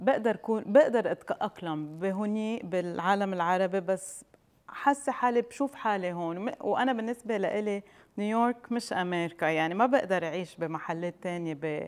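With normal pitch movement, a woman delivers her words at a moderate speed. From Palestine. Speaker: chocolate entrepreneur; interview guest. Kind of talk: TV interview. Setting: studio with audience. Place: studio.

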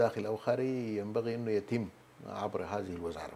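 Over light background noise, a man with a Sudanese accent speaks in a dark, mellow tone with ordinary pitch variation. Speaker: government minister; guest. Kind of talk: TV interview; interview answer. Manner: halting. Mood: calm, explanatory. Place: studio. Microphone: lapel.

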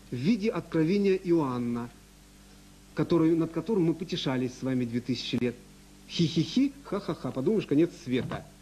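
The tone here is dark and mellow. The intonation is lively. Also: man. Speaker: researcher; lecturer. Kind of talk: lecture. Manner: fast. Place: hall. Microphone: podium.

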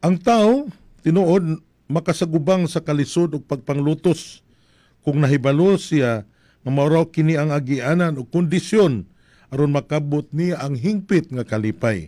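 Against a quiet background, a man with a fairly high pitch and a dark, mellow tone speaks at a fairly slow pace with ordinary pitch variation. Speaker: priest. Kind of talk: homily. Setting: live streaming. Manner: formal, measured preaching; earnest, reflective. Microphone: studio mic.

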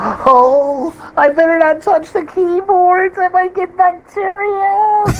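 A put-on character voice with an extremely high pitch moves at a very slow pace. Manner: fussy, prissy.

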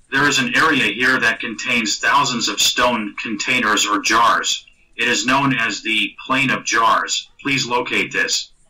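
A man talks at a fairly slow pace, with hardly any pauses and very even loudness. Noticeable background noise is present. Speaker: trance session guide. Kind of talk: guided meditation. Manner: calm, directive.

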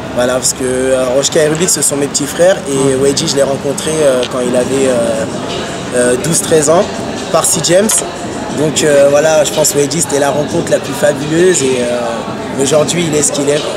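Amid loud background noise, a man speaks fairly slowly, stopping often for long pauses. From Paris region, France. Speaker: hip-hop dancer. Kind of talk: interview. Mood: relaxed, reflective. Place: street.

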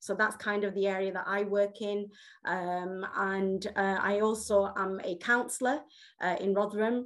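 A woman speaks with a Yorkshire accent at a fairly slow pace, her medium-pitched voice flat and monotone. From Yorkshire, England. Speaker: health campaigner. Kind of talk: personal testimony. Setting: video call.

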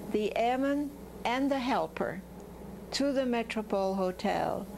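A woman talks at a fairly slow pace with a high pitch and ordinary pitch variation. There is light background noise. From Belgium. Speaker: wartime resistance helper; interviewee. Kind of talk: interview testimony. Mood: animated, reminiscing. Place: home room.

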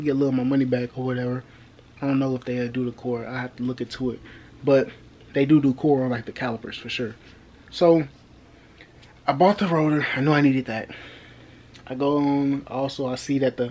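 Fairly even intonation and a fairly quick pace from a man. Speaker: car project vlogger. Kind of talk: casual vlog chat. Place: home room. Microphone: phone near.

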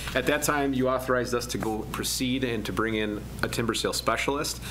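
Light noise sits in the background. The man's pace is very fast. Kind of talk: meeting report. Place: meeting room. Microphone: podium.

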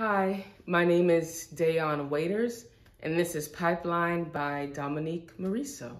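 A woman's fairly low voice, with ordinary pitch variation and a fairly slow pace. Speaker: actor performing an audition monologue. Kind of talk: dramatic monologue. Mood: earnest, emotional, confrontational. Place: empty room.

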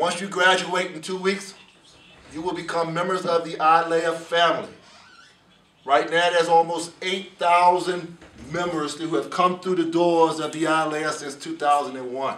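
A man with an American accent talks at a fairly slow pace in a high pitch with monotone, flat intonation, and room echo is audible. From United States. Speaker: program director of a law enforcement training academy. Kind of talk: welcome address to a class. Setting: in-person address to a class. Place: meeting room. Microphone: camera far.

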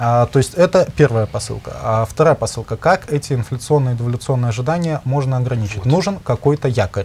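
Over noticeable background noise, the speech runs at a very fast pace with hardly any pauses. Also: man, medium pitch for a man, ordinary pitch variation. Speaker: economic researcher. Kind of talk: expert discussion. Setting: studio. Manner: halting.

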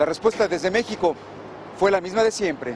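The man talks at a moderate pace. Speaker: news reporter. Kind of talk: news reading.

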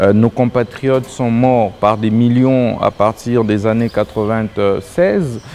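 A man talks at a very slow pace with fairly even intonation and very even loudness. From DR Congo. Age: 30s. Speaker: presidential candidate; candidate. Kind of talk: political interview. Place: studio. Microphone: lapel.

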